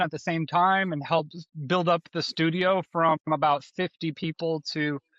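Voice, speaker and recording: A man with an American accent talks at a moderate pace and a high pitch, his intonation fairly even, in a dry, close sound with no echo against a quiet background. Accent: Texan accent, stronger when relaxed. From Texas, Austin. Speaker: design leader. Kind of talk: interview. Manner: halting.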